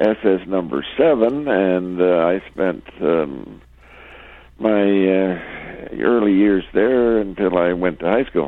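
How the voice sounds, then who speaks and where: With a Canadian accent, a man talks at a very slow pace in a very deep, low pitch, his intonation lively and his loudness very even. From Ontario. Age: 80s+. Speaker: retired farmer. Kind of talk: casual chat. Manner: halting.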